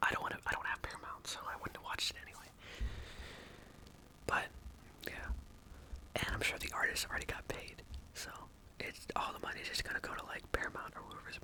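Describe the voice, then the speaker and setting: The speaker whispers at a very fast pace, with long, frequent pauses. Background noise is noticeable. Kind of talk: casual ASMR rambling about movies. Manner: whispered.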